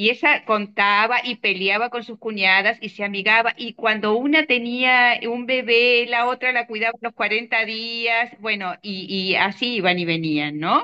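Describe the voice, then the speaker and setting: A woman speaks at a fairly slow pace in an unremarkable speaking voice, with hardly any pauses. Her pitch is fairly high, with ordinary pitch variation. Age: 60s. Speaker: course participant. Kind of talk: online discussion.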